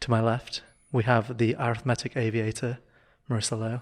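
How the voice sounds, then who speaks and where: A quiet man's voice at medium pitch, monotone and flat in intonation, on a very clean recording with a silent background. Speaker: podcast host. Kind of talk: casual chat. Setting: indoor room, poor acoustics. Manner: quiet, hushed.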